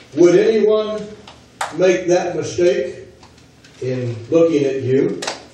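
A man with an American accent speaks very slowly with lively intonation and long, frequent pauses. Audible room echo and light background noise surround him. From United States. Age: 70s. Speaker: visiting preacher. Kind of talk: sermon. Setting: church. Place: church.

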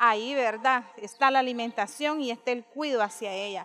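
Light background noise sits under a woman speaking at a moderate pace and high pitch. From Nicaragua. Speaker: mayor. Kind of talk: interview. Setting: outdoors. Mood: proud, grateful. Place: garden. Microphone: handheld.

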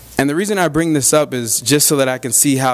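Against a quiet background, a man with an American accent moves at a fairly quick pace with ordinary pitch variation. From Arizona. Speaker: reentry program manager, former inmate; guest. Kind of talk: public talk to a club audience. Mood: friendly, earnest. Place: hall. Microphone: podium.

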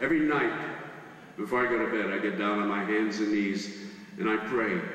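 Audible room echo around a man's moderately paced speech, fairly low in pitch, with ordinary pitch variation. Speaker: stand-up comedian. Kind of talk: stand-up comedy routine. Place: stage.

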